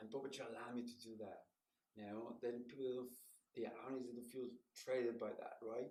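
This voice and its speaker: A man's medium-pitched voice, fairly quick, with monotone, flat intonation. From Mexico City. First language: Spanish. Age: 60s. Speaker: puppeteer and professor. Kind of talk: interview.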